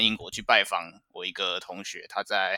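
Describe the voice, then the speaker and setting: A man speaks at a middling speed, the sound dry and close with no echo at all. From Taiwan. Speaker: finance professional abroad. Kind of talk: interview chat.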